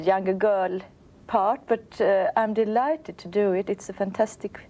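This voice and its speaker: A dark, mellow tone in a Swedish accent, at a moderate pace with fairly even intonation. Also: woman. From Sweden. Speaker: opera singer. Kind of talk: interview.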